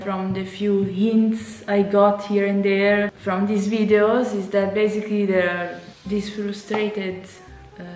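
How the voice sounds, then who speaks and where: A woman's medium-pitched voice with an Italian accent, at a fairly slow pace, amid noticeable background noise and audible room echo. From Italy. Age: 30s. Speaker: YouTuber. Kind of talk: casual reaction vlog. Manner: animated.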